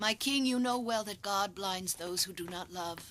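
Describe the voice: A woman's cartoonish character voice at medium pitch, with ordinary pitch variation and a moderate pace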